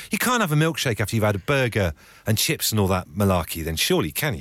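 In a very clean recording with a silent background, a man with a British accent talks very fast in a fairly low voice, his pitch swinging very widely while his loudness stays very even. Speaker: radio host. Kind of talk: casual chat. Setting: studio. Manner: animated.

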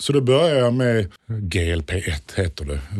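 A somewhat breathy male voice with very wide pitch swings, on a very clean recording with a silent background. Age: 40s. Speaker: interview guest sharing weight-loss story. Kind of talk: interview. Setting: studio.

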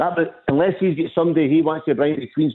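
A man with a Scottish accent, fairly high pitch, and a very fast pace. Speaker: football fan caller. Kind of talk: radio phone-in. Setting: phone call. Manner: animated.

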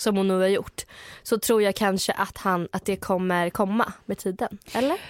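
In a normal speaking voice, a woman of medium pitch talks at a moderate pace with fairly even intonation, on a very clean, dry, close recording with no echo and a silent background. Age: 20s. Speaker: podcast co-host. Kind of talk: casual chat.

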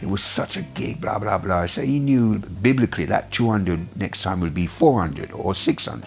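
Over noticeable background noise, a man talks at a fairly slow pace. His fairly low voice moves in very wide pitch swings. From Jamaica, raised in London England. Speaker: photographer. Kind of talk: recounting memories in an interview.

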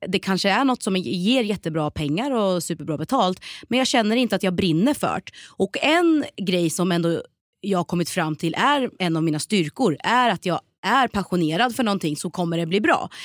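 A woman with an ordinary speaking voice talks at a moderate pace and medium pitch, with lively intonation. The recording is very clean and dry, close with no echo, against a silent background. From Sweden, Norrköping (Östergötland). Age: 30s. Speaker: TV presenter and actress. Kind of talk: casual interview.

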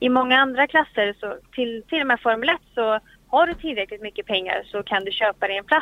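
Lively in intonation, a woman with a high voice speaks at a fairly quick pace. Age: 20s. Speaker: racing driver and driving instructor. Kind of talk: interview. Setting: in a car.

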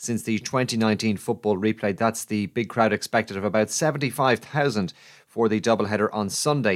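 On a very clean recording with a silent background, a man with an Irish accent talks at a fairly quick pace, medium pitch and ordinary pitch variation. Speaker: sports news presenter. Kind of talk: news reading.

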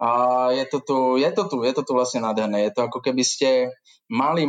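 A man with a plain, everyday voice talks fairly quickly, his medium pitch showing ordinary pitch variation. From central Slovakia, near Žiar nad Hronom. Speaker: brewery manager. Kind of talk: interview.

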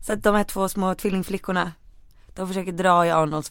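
Fairly even intonation marks this woman's speech. Her pitch sits fairly low. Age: 20s. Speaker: podcast co-host. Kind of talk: casual chat.

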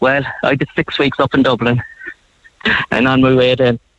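The man's pitch sits in the medium range. His intonation is monotone and flat. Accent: Cork. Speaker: retired paramedic. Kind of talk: radio phone interview. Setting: phone call.

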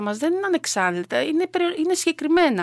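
A woman is speaking. The sound is dry and close with no echo. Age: 50s. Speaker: triathlete and lifeguard volunteer. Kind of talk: interview.

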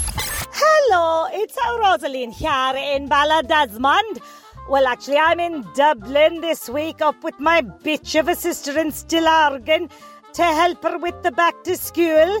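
A woman speaks at a fairly slow pace in a North Cork accent, her high voice moving with ordinary pitch variation over music in the background. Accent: North Cork Irish. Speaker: caller to comedy advice segment. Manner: gossipy, comic rant.

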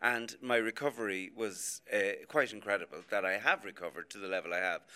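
The tone is bright and sharp, with lively intonation. The pace is fairly quick. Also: man. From Ireland, Athy, Co. Kildare. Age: 60s. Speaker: music and TV producer. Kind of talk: radio panel discussion. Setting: outside broadcast at a hotel.

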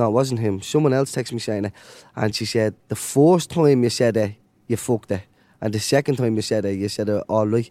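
With a Dublin accent, a man speaks in a dark, mellow tone with ordinary pitch variation. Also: medium pitch for a man. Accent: Dublin Irish. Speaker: podcast co-host. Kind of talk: casual chat. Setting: stage in empty stadium.

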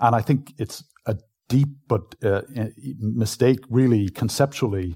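A man speaks at a medium pitch with a dark, mellow tone and a somewhat breathy quality. The recording is very clean, with a silent background. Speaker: neuroscientist and professor. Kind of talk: interview, explaining science to a live audience. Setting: stage with live audience.

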